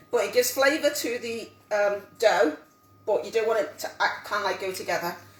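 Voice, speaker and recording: A woman's fairly high-pitched voice, full of lively intonation, comes through noticeable background noise. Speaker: home cook teaching a cook-along. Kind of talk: live cooking tutorial. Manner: fast.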